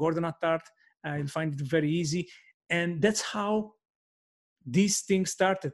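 A man talks in a Maltese accent at a high pitch and a fairly slow pace, with long, frequent pauses. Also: ordinary pitch variation. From Malta. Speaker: podcast host, network marketer. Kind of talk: solo podcast monologue. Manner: halting, many fillers.

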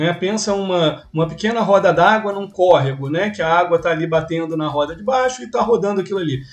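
Over music in the background, a man with a high pitch talks at a very fast pace with hardly any pauses and ordinary pitch variation. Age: 40. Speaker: podcast host. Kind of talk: casual interview.

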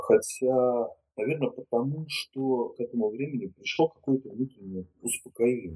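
Dark and mellow in tone, a man's voice sits at a medium pitch with ordinary pitch variation. He speaks at a moderate pace, and the sound is dry and close with no echo. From Russia, Murmansk. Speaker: psychologist, gestalt therapist. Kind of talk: interview. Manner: halting.

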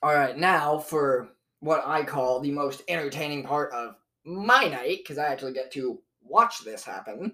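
Loud and with a bright, sharp tone, a man speaks at a moderate pace in a fairly high pitch with ordinary pitch variation. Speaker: comedy podcast host. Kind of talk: casual chat. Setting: home studio. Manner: animated.

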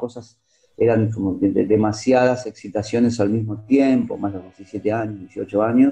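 Speaking with a Rioplatense accent, a man at a medium pitch and moderate pace has a dark, mellow tone, somewhat breathy, with fairly even intonation. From Buenos Aires suburbs, Argentina. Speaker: radio journalist. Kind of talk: interview.

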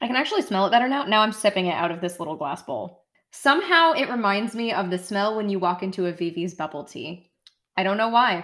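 A woman with an American accent, medium in pitch, at a very fast pace with lively intonation, in a very clean recording with a silent background. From United States. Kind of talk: casual chat.

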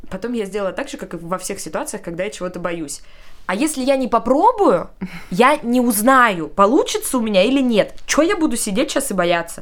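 A woman's unremarkable speaking voice, fairly quick pace and lively intonation, in a very clean recording with a silent background. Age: 20s. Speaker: young mother sharing her story. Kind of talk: casual chat. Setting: studio.

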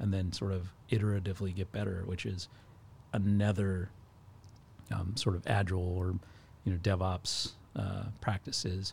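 Speaking at a moderate pace with long, frequent pauses, a man uses a very deep, low pitch in a monotone, flat, somewhat breathy delivery. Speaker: cloud architect. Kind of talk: casual chat.

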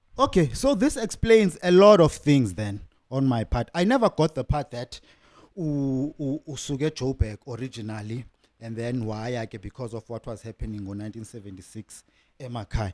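With a plain, everyday voice, a man speaks at a moderate pace, his intonation lively and his loudness swinging widely, in a dry, close sound with no echo. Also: medium pitch for a man. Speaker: podcast interviewer. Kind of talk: casual interview chat.

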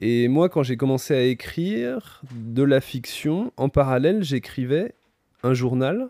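A man's very slow, dark, mellow voice with ordinary pitch variation and very even loudness, dry and close with no echo, on a very clean recording with a silent background. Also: medium pitch for a man. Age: 30s. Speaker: novelist. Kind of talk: casual chat.

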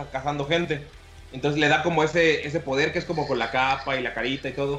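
Music plays in the background as a man with a Mexican accent talks at a very fast pace. His pitch is fairly high and his intonation fairly even. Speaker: podcast host. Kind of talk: casual chat.

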